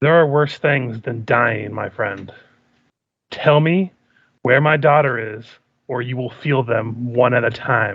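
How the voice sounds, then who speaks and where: A man growls through a put-on character voice at a medium pitch with ordinary pitch variation. He talks at a fairly slow pace, leaving long, frequent pauses. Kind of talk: cold, deliberate threat. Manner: very slow, menacing.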